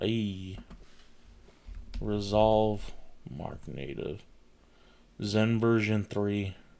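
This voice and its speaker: Speaking very slowly with an American accent, a man uses a fairly low, dark, mellow voice and fairly even intonation. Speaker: tech streamer. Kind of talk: casual livestream chat while installing Linux. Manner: casual, thinking aloud.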